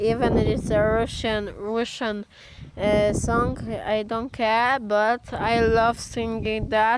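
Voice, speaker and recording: A woman with a Polish accent at a very slow pace and fairly high pitch, monotone and flat in intonation, over noticeable background noise. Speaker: amateur singer vlogger. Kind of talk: casual vlog chat. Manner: halting, many fillers.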